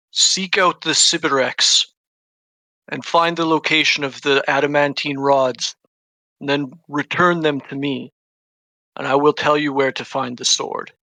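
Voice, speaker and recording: A man puts on a character voice, resonant and fairly high, with fairly even intonation at a moderate pace. He takes long, frequent pauses, and the sound is dry and close with no echo. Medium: actual play. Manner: imperious, measured, scheming.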